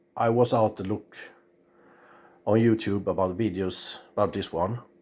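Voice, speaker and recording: The speaker has a Swedish accent. Delivery is at a moderate pace with fairly even intonation. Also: man, fairly low pitch for a man. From Sweden. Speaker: radio amateur. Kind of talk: tutorial. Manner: halting, many fillers.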